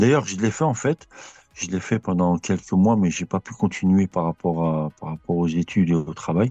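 Over music in the background, a man speaks in a calm tone at a moderate pace, his very deep, low pitch varying in an ordinary way, the sound dry and close with no echo. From France, Bron near Lyon. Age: 40s. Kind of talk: interview. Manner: hesitant.

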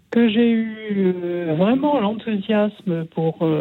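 Speaking at a very slow pace, a woman lets her pitch vary in an ordinary way. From Mâcon, Burgundy, France. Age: 70s. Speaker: caller, former nun. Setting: phone call.

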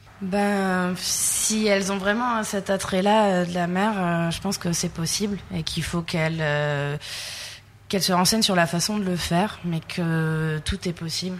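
At a fairly slow pace, a woman talks at a medium pitch with fairly even intonation. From southern France, Sète. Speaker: fisheries technician. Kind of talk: interview. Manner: hesitant.

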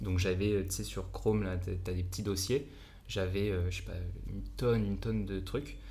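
A man speaks with a very deep, low pitch and a dark, mellow tone, with vocal fry and ordinary pitch variation. His pace is moderate, and the room echo is audible. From France. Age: 20s. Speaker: entrepreneur. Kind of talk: casual chat.

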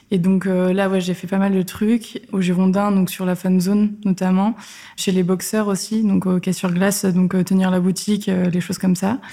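A woman speaks at a medium pitch and a fairly slow pace in a monotone, flat intonation. Her tone is dark and mellow, and somewhat breathy. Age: 20s. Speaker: freelance community manager. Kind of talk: interview. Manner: casual.

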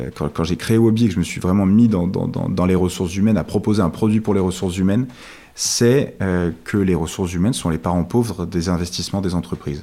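With fairly even intonation, a man with a very deep, low voice speaks at a fairly quick pace. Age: 30s. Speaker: startup co-founder. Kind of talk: interview. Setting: at the guest's home.

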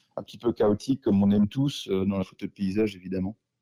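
In a dry, close sound with no echo, a man speaks at a moderate pace with a fairly low pitch, a dark, mellow tone and monotone, flat intonation. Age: 30s. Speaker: mountain photographer. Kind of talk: casual interview. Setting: in person at guest's home town.

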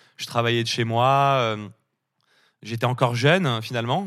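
A man talks at a fairly slow pace and medium pitch with ordinary pitch variation, in a very clean recording with a silent background. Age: 30s. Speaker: agency founder, entrepreneur. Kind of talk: interview.

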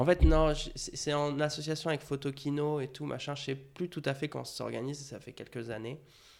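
The man's voice sits at a fairly high pitch, with fairly even intonation. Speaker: graphic designer. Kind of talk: casual chat. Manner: talkative, flowing.

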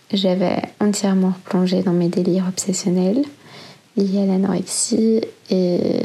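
The speaker's delivery is a flat monotone at a fairly slow pace, with noticeable background noise. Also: woman. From Belgium. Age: 30s. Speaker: eating disorder survivor. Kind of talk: testimony. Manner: gentle storytelling.

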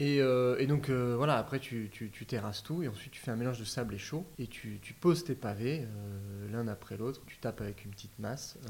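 Over noticeable background noise, a man talks at a fairly quick pace with hardly any pauses, medium pitch, ordinary pitch variation and big swings in loudness. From Paris region, France. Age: 30s. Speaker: DIY renovator, interior design agency co-founder. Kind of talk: casual interview. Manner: halting, repeats words.

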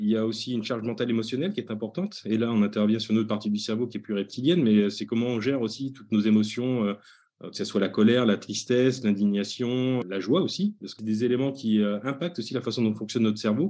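A man's very fast speech, medium in pitch and dark and mellow in tone, with ordinary pitch variation. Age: 40s. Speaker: HR consultant and author. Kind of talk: interview.

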